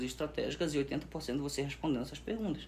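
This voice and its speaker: A man's fairly high-pitched voice with vocal fry, at a very fast pace. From northern Brazil, Pará. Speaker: sales expert. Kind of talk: podcast interview. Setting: studio.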